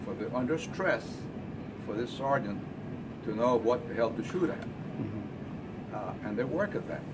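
Loud background noise sits behind a man's voice. He speaks at a fairly slow pace with long, frequent pauses. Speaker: Vietnam War veteran, retired army colonel. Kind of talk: group discussion remarks. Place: cafe. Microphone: handheld.

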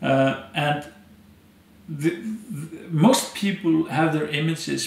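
Speaking with an Icelandic accent, the voice moves at a fairly slow pace with lively intonation and audible room echo. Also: man. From Iceland, Westfjords. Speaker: anthropologist and storyteller; storyteller. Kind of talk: interview. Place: home room.

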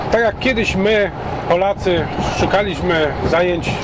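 Amid loud background noise, a man talks at a fairly slow pace in a dry sound with no echo. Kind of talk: casual vlog chat. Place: car. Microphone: camera far.

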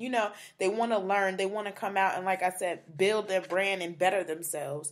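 In a very clean recording with a silent background, a woman with an unremarkable speaking voice talks at a fairly quick pace, medium pitch and fairly even intonation. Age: 20s. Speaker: podcast host, blogger in PR. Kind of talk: casual chat.

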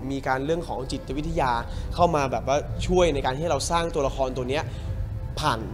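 Fairly even intonation over clear music in the background. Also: man. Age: young. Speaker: actor. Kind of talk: interview answer. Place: hall.

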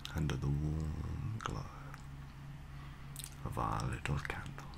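A man speaks at a very slow pace. Noticeable background noise runs behind him. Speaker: ASMR artist. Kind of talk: ASMR relaxation talk for sleep. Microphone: studio mic.

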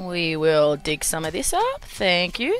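With music in the background, a woman with an Australian accent speaks at a very slow pace. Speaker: gaming YouTuber. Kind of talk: let's play gameplay commentary. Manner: casual, chatty.

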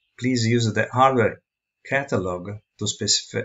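This man speaks with an Italian accent. His voice is somewhat breathy. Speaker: tutorial presenter. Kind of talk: tutorial. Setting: screen recording. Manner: halting.

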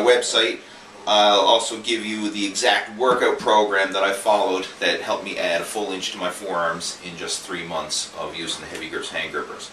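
Light background noise and audible room echo are present. A man speaks at a fairly quick pace. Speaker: fitness coach. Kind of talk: casual vlog chat. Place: office. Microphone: camera far.

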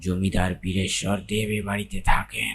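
A man puts on a character voice, very deep and low in pitch, delivered in a flat monotone. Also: moderate pace. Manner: eerie, otherworldly.

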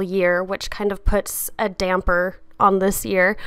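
A woman speaks at a fairly slow pace in a medium pitch with a bright, sharp tone, on a very clean recording with a silent background. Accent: American. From US desert region. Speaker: YouTube artist. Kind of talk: casual vlog chat while painting. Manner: casual, hesitant with many fillers.

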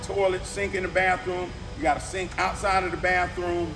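Music in the background under a man talking at a moderate pace. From Lakeland, Florida, US South. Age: 50s. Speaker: youth program leader. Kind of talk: speech to an audience. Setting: event hall with audience.

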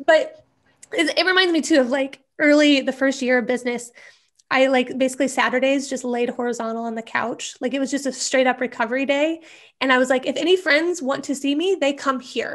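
This woman has a high pitch and an American accent. She talks at a fairly quick pace with fairly even intonation over a quiet background. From US Midwest, small-town Nebraska. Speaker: email marketing strategist; interview guest. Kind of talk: interview. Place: home room. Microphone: earbuds.

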